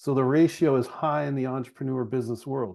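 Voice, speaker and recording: A plain, everyday voice at a fairly quick pace. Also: man. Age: 40s. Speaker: chiropractor and business founder. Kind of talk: podcast interview conversation. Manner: casual, conversational with fillers.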